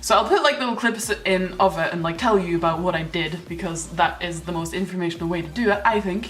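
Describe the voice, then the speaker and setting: Over noticeable background noise and audible room echo, a woman talks at a medium pitch and a fairly quick pace. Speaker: YouTuber, gamer. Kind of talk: casual vlog. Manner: fast; animated, filler-heavy.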